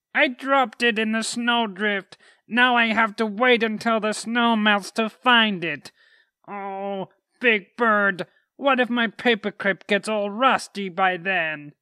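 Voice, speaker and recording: In a put-on character voice with fairly high pitch, the speaker talks at a fairly slow pace on a very clean recording with a silent background. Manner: mournful.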